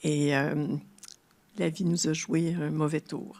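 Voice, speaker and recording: A woman with a very deep, low pitch, speaking at a very slow pace. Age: 70s. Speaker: retired translator and grief speaker. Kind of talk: public talk. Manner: halting.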